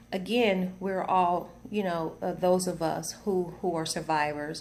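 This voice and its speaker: A woman speaks with an American accent at medium pitch and fairly even intonation. Audible room echo surrounds her voice. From US South. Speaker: video blogger. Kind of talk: personal testimony. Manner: halting, many fillers and repetitions.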